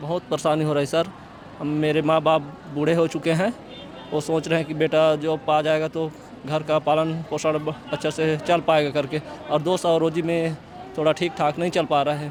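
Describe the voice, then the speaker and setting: Over music in the background, a man with a fairly high voice speaks at a moderate pace in a monotone, flat intonation. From Chhattisgarh, Korba. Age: 30s. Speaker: protesting job candidate, daily laborer. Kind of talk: street interview.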